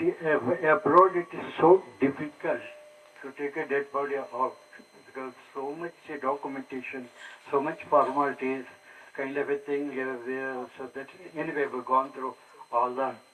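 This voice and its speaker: A man's fairly high, monotone voice at a moderate pace, flat in intonation, with long, frequent pauses, big swings in loudness and noticeable background noise. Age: 80s+. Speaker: conference speaker sharing personal story. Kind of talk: personal talk to an audience.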